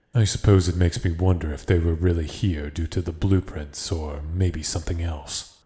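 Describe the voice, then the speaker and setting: A man uses a put-on character voice, very deep and low, at a moderate pace with hardly any pauses. The recording is very clean with a silent background. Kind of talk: audio roleplay.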